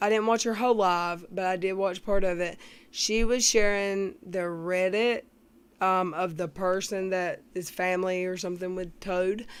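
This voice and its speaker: Heard on a very clean recording with a silent background, the speaker talks with a Southern US accent in a monotone, flat intonation. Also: woman, medium pitch for a woman. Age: 40s. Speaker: YouTube commentator. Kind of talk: live stream chat. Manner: slow; casual.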